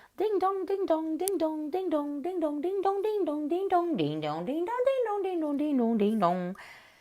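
A woman's put-on character voice, extremely high in pitch, moderate pace, hardly any pauses. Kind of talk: bedtime story. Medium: read story. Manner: giddy, repetitive.

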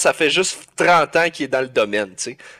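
In a Quebec accent, a man talks at a fairly quick pace against a quiet background. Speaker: podcast co-host. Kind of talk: casual chat. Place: home room.

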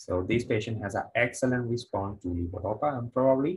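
Ordinary pitch variation at a moderate pace. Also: man. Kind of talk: lecture. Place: studio.

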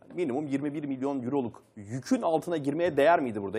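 Using an unremarkable speaking voice, a man talks at a fairly quick pace with a fairly high pitch and ordinary pitch variation. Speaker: sports TV presenter. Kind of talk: panel discussion. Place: studio. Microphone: lapel.

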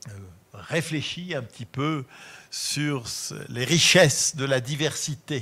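A man's voice at a very slow pace. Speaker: lecturer. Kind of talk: lecture with literary reading aloud. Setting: auditorium with live audience. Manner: formal, measured; expressive, slow audiobook-like delivery when reading. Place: hall.

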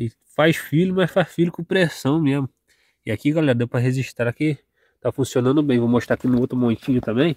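Against a quiet background, a man speaks at a fairly quick pace with ordinary pitch variation in a dry sound with no echo. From Brazil, interior of Rio de Janeiro state (serrana region). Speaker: farmer and rural vlogger; small farmer vlogger. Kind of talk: casual vlog. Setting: outdoors. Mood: grateful, relaxed. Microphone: phone near.

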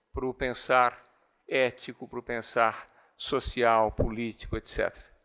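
The tone is bright and sharp, at a fairly slow pace. The background is quiet. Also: man. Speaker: physics and education professor; education professor. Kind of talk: lecture. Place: hall. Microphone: speaking very close to the mic; podium.

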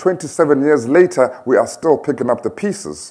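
This man talks with a South African accent at a fairly high pitch. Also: quiet background. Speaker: activist and speaker. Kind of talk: public speech. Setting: stage with audience. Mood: earnest storytelling. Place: hall. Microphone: podium.

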